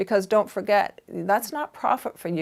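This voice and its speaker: A woman with a Canadian accent speaks at a moderate pace with vocal fry and ordinary pitch variation, in a very clean recording with a silent background. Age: 60s. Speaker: fashion boutique owner. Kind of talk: interview monologue giving career advice.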